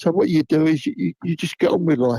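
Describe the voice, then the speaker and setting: A man talks in a Cockney accent with a dark, mellow tone. His pitch sits fairly high. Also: dry, close sound with no echo. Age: 70s. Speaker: football fan. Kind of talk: casual chat.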